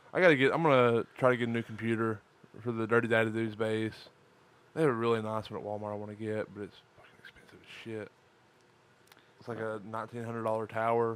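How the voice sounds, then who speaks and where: Speaking at a very fast pace, a man keeps his intonation fairly even. His loudness swings widely. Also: medium pitch for a man. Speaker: podcast host. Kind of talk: casual chat. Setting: live stream recording.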